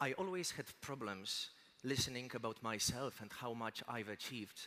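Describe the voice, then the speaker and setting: A bright, sharp tone in a Polish accent. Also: man. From Poland. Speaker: motivational speaker. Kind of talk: motivational speech.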